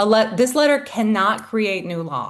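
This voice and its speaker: The speaker is a woman. Her background is quiet. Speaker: legal services coordinator at an education nonprofit. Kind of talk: webinar presentation. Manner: fast.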